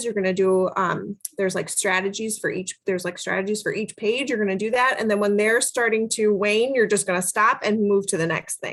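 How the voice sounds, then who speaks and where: At a very fast pace, a woman talks at medium pitch with fairly even intonation. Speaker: literacy and AAC trainer for teachers. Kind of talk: online training workshop.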